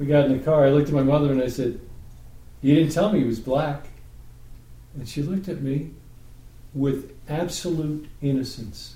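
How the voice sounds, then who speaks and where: In a New York accent, a man with a dark, mellow, somewhat breathy tone speaks at a moderate pace with fairly even intonation and long, frequent pauses, amid audible room echo. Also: fairly high pitch for a man. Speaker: Torah study group leader. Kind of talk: group Bible study discussion.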